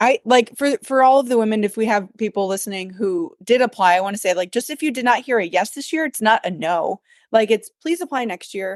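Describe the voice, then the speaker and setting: A woman with a northern US accent speaks at a fairly quick pace and fairly high pitch with lively intonation, in a dry, close sound with no echo over a quiet background. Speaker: podcast co-host, adoptive mom, nonprofit runner. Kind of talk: casual chat.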